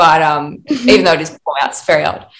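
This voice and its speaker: This voice belongs to a woman. Her accent is Australian. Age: 20s. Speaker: actor and playwright. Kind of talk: casual interview chat.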